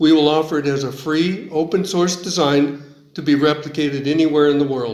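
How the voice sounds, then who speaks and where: A man with an American accent talks at a fairly quick pace, his pitch fairly high and his intonation fairly even. Audible room echo and noticeable background noise surround his voice. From US. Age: 70s. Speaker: engineer. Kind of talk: scripted narration.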